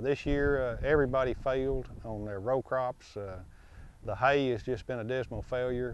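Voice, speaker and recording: A man speaks with an American accent at a moderate pace, his medium pitch and fairly even intonation marking an ordinary speaking voice. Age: 60s. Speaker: cattle and hay farmer. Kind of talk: interview. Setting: outdoors.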